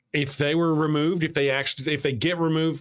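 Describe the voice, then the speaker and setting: Heard in a dry, close sound with no echo, a man talks with a Texas accent. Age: 50s. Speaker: talk show host. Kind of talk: casual discussion.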